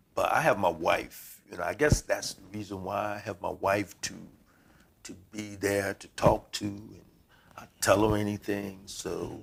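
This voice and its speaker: With a fairly low pitch, a man speaks at a fairly slow pace and with fairly even intonation, though his loudness swings widely. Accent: Virginia. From Virginia Eastern Shore, Mappsville. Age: 70s. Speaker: pastor. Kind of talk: casual interview chat. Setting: in a church.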